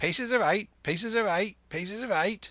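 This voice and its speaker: This put-on character voice is fairly high and shrill, delivered at a moderate pace. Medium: read story. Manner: fast, repetitive.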